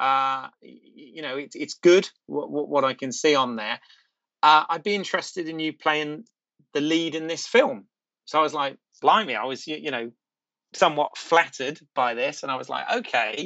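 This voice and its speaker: A man with a British accent talks at a moderate pace, his fairly high pitch showing ordinary variation. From Britain. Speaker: actor. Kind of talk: casual chat. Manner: halting.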